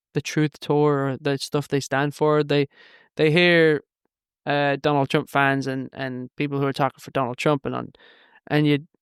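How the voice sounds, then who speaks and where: Monotone, flat delivery in a dry, close sound with no echo, on a very clean recording with a silent background. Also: man, fairly high pitch for a man. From Ireland and Manchester, England. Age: 30s. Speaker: filmmaker. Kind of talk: podcast interview. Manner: fast, many false starts and fillers.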